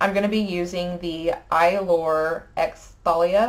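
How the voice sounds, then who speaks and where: A woman speaks in a Texan accent. Her intonation is fairly even. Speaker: beauty vlogger. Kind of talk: tutorial. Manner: casual, hesitant with fillers.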